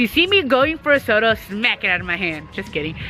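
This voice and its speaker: Music plays in the background as a woman talks at a fairly quick pace. Her intonation is lively. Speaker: missionary vlogger. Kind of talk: casual Q&A vlog. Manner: hesitant, many fillers.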